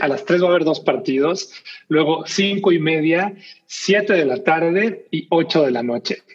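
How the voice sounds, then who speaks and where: The man's voice is high-pitched. He speaks fairly slowly. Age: 40s. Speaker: basketball podcast host. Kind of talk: casual chat. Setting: home recording.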